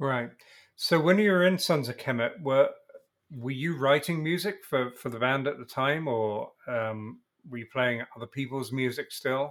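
This man talks at a moderate pace, his loudness rising and falling in big swings. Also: medium pitch for a man, ordinary pitch variation. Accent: English. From England. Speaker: podcast host. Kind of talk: interview.

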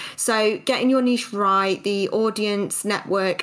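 A woman speaks in an ordinary speaking voice at a medium pitch and a fairly slow pace, her intonation fairly even. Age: 30s. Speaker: podcast host and small business owner. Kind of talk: casual interview chat; scripted narration.

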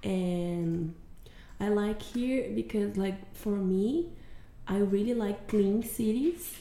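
A woman with a Portuguese accent speaks at a very slow pace. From southern Brazil, Curitiba. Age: 30s. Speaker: program staff member. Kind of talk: casual interview.

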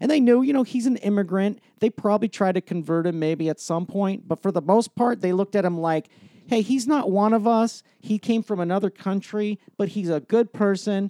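A man with an American accent speaks at a high pitch in a dark, mellow tone, with ordinary pitch variation. His moderate pace has hardly any pauses, and the sound is dry and close with no echo. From Utah and Virginia, US. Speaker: comedian. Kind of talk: casual chat.

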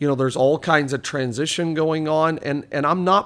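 This is an ordinary speaking voice from a man with fairly high pitch, fairly even intonation and a moderate pace. The recording is very clean, with a silent background. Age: 40s. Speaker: pastor. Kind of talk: casual chat.

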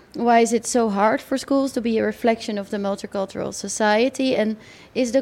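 A woman speaks with a Dutch accent. Her pitch is fairly high. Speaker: radio host.

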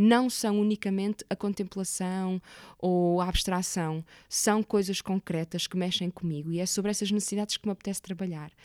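In an unremarkable speaking voice, a woman talks at a fairly quick pace with fairly even intonation, the sound dry and close with no echo. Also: very clean recording, silent background. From Portugal, Porto area. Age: 30s. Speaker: actress and theatre maker. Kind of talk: interview conversation.

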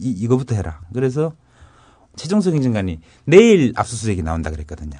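A dark, mellow tone at a very fast pace, with very wide pitch swings, big swings in loudness and long, frequent pauses. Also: man, medium pitch for a man. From North Gyeongsang, South Korea. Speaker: former government official, whistleblower. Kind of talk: interview.

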